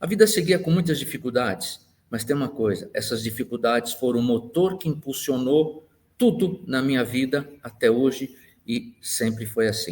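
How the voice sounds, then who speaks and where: A man speaks at a moderate pace and medium pitch. His voice is somewhat breathy, with lively intonation. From Brazil, Santos (São Paulo coast). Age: 60s. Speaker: engineer and university professor. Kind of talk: life-story interview monologue.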